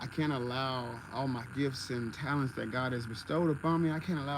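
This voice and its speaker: Over noticeable background noise and audible room echo, a man with a medium pitch talks at a fairly quick pace with fairly even intonation. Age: 20s. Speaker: content creator and DIY builder. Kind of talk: livestream tutorial and casual chat. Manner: casual, conversational.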